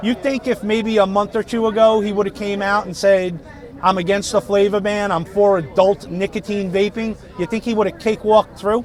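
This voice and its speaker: A man with a Brooklyn accent and a high pitch talks at a fairly quick pace over noticeable background noise. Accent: New York (Brooklyn). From US Northeast (Brooklyn, New York). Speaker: vaping channel host, interviewer. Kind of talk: street interview at rally. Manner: animated.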